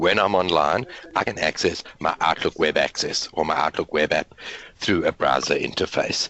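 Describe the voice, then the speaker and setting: A man at a moderate pace, his loudness very even, with noticeable background noise. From South Africa. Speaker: IT consultant and webinar host. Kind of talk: webinar presentation. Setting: online group call.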